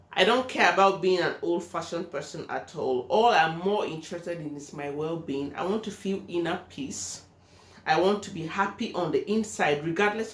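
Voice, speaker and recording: A woman talks at a moderate pace in a fairly low pitch, with ordinary pitch variation. Her loudness swings widely, and there is noticeable background noise. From Nigeria. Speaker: vlogger. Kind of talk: personal vlog monologue.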